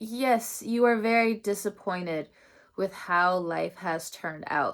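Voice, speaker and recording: Here we hear a woman. The rise and fall in her pitch is ordinary. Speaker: tarot reader. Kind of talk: tarot reading. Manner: loud, projecting from diaphragm; animated.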